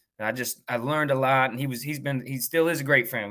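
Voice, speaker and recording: A man with an American accent speaks in a bright, sharp tone at a fairly quick pace. His intonation is fairly even, and the recording is very clean with a silent background. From North Carolina. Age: 30s. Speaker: high school football coach. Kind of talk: interview. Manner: halting.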